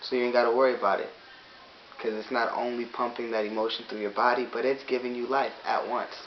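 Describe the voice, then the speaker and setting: A man speaking fairly quickly in a monotone, flat delivery, with noticeable background noise. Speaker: vlogger giving a philosophical talk. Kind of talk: unscripted monologue.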